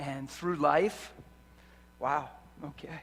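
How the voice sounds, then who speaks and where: A man speaks softly. His intonation is monotone and flat. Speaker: preacher. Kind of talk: sermon. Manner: varies between loud and soft. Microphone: loud and echoey.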